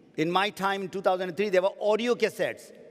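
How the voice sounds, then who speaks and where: This man talks at a high pitch. His intonation is fairly even. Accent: Pakistani. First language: Urdu. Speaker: network marketing trainer. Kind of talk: motivational seminar talk.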